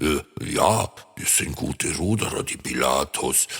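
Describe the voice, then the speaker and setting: Growling at a fairly slow pace, a man puts on a character voice. His pitch is very deep and low. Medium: read story. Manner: hesitant, stammering.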